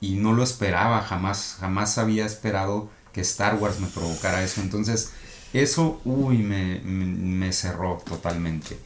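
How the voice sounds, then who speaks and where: A man speaks at a fairly low pitch and a fairly slow pace. His pitch varies in an ordinary way, and audible room echo surrounds him. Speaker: podcast co-host. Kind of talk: casual chat.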